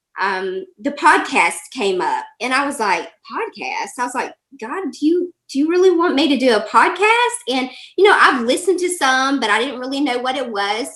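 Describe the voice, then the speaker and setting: A woman with a Southern US accent speaks at a moderate pace in a high pitch. Her tone is bright and sharp, with very wide pitch swings. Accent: Southern US, country twang. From Alabama, US South (Birmingham). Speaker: life coach. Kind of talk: interview.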